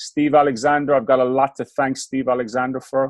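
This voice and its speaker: A man's medium-pitched voice with an Irish accent and monotone, flat intonation. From Ireland. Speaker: basketball coach. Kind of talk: podcast interview.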